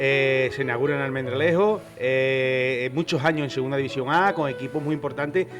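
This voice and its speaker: Over background music, a man speaks at a fairly high pitch and a moderate pace. His intonation is fairly even, with hardly any pauses. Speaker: interviewer. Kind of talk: casual interview questions.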